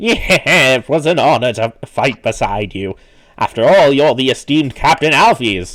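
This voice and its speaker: Doing a cartoonish character voice, a man speaks at a moderate pace with a fairly high pitch. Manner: formal, grandiose.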